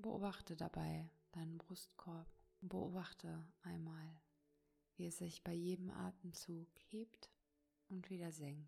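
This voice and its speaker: A woman speaks at a very slow pace with long, frequent pauses, her fairly low, somewhat breathy voice having a dark, mellow tone. The delivery is soothing and calm, with monotone, flat intonation. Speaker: meditation teacher and coach. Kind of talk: guided meditation. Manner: slow, soft, soothing, calm; gentle, warm, with long pauses.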